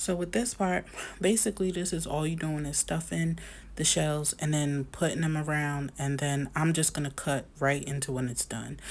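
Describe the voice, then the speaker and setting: A woman's very deep, low voice with ordinary pitch variation at a moderate pace, on a very clean recording with a silent background. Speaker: home cook video creator. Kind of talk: cooking voiceover tutorial. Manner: casual, filler-heavy.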